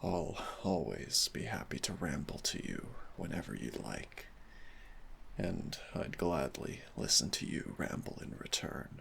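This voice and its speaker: With clear background noise behind it, the voice moves at a fairly slow pace using lively intonation. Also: man, very deep, low pitch for a man. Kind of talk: boyfriend comfort roleplay. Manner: soft-spoken, gentle.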